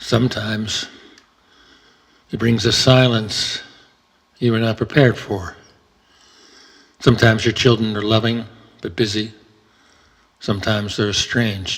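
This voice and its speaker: Calm in tone, a man speaks at a moderate pace and medium pitch, flat and monotone, with long, frequent pauses. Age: 70s. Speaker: retired entrepreneur. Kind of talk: reflective talk on Buddhism and aging. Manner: calm, reflective.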